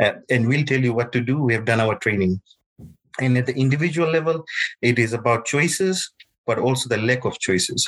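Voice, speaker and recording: Somewhat breathy, a man speaks at a medium pitch and a fairly quick pace. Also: ordinary pitch variation, very even loudness. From Fiji. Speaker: hearing healthcare academic. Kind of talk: panel discussion.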